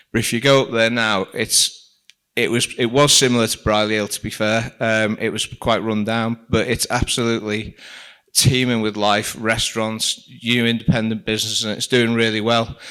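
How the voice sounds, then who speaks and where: A man with a Liverpool accent speaks at a moderate pace in a medium pitch, his bright, sharp tone held to a monotone, flat intonation. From Liverpool, England. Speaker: shopping centre director. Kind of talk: presentation. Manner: casual, with frequent fillers.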